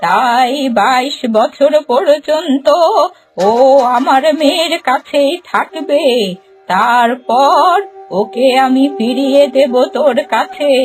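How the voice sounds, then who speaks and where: A woman does a cartoonish character voice, high in pitch with ordinary variation and very even loudness. She speaks very slowly over faint music in the background. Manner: commanding, motherly.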